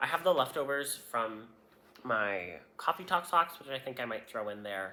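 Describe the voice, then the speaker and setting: This man has a bright, sharp tone and talks at a moderate pace. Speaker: knitting podcaster. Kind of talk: casual podcast show-and-tell. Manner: hesitant, many fillers.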